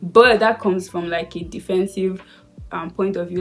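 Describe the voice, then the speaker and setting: The woman's voice sits at a medium pitch. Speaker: lifestyle YouTuber. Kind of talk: casual vlog talk. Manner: fast; sped-up playback.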